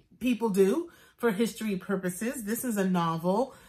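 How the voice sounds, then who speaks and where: A woman speaks with an American accent. Her pace is moderate and her pitch varies in an ordinary way. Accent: New York accent, comes out occasionally. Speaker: actor, book reviewer. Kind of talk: book review vlog. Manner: casual, chatty with fillers.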